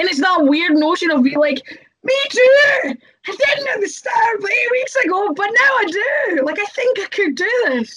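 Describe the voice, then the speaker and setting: Shouting in a Scottish accent, the speaker uses a bright, sharp tone, very wide pitch swings and a fairly slow pace. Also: woman, extremely high pitch for a woman. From Scotland. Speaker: professional wrestler. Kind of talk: casual chat.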